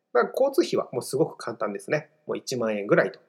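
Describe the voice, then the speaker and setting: A man talks at a fairly quick pace. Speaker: study-abroad consultant and podcast host. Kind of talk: solo podcast monologue. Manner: polite, filler-heavy.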